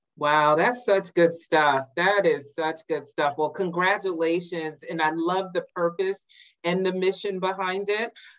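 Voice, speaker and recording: A woman with an ordinary speaking voice, a fairly low pitch and a fairly slow pace. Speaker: interviewer and show host. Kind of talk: casual interview. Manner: warm, upbeat.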